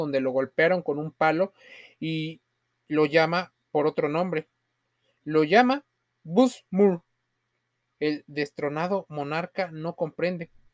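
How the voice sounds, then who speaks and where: A fairly slow pace with long, frequent pauses. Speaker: podcast host and story narrator. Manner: dramatic, building suspense, measured pacing.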